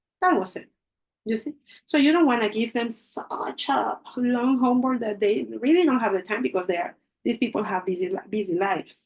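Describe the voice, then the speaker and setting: A woman with a Spanish accent talks at a fairly quick pace, her fairly high voice rising and falling in a lively way. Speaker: English teacher. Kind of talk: lecture.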